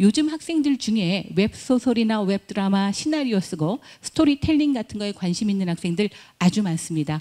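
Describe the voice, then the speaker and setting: On a very clean recording with a silent background, a woman with a medium pitch and a dark, mellow, somewhat breathy tone speaks at a moderate pace with very wide pitch swings. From Chungcheong, Korea. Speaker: university admissions director. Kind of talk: admissions presentation. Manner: formal.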